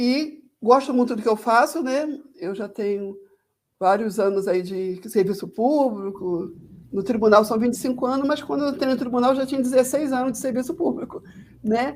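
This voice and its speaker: A woman talks at a moderate pace, her voice high and her intonation lively. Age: 60s. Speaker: social worker. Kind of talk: casual chat.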